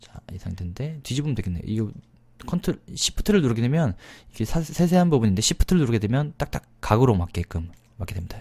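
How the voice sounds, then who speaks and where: A man's somewhat breathy, dark, mellow voice with very wide pitch swings, at a fairly quick pace, in a very clean recording with a silent background. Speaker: PowerPoint instructor. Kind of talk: screen-recorded software tutorial. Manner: fast-paced, many filler words.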